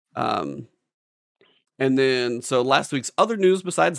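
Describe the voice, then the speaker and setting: A man's plain, everyday voice at medium pitch, lively intonation, dry, close sound with no echo. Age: 40s. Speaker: gaming podcast co-host. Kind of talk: casual chat.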